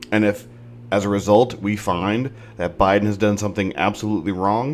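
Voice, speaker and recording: A man with an American accent mumbles at a fairly low pitch. His intonation stays fairly even. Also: fairly quick pace. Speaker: political commentary podcast host. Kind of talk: opinion monologue. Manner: mumbling; halting.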